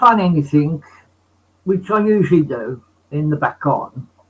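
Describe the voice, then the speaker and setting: Bright and sharp in tone, a man speaks high-pitched with lively intonation. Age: 60s. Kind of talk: casual chat.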